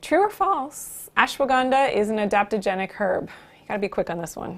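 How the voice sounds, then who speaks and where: A woman with a Canadian accent talks at a fairly quick pace and fairly high pitch, her tone upbeat and energetic, with lively intonation and big swings in loudness. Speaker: naturopathic doctor hosting a live health show. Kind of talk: live stream talk with viewer interaction. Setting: live stream. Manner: upbeat, energetic.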